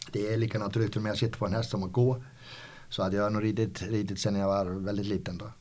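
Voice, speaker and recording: A man speaks very fast in a fairly low pitch with monotone, flat intonation. Room echo is audible. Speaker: company founder. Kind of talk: interview. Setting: company office. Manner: halting, many repetitions.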